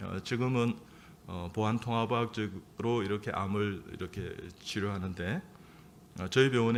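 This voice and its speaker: Fairly slow, fairly even speech from a man with a fairly low pitch. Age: 60s. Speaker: surgeon and church elder. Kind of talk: sermon. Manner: halting, many fillers.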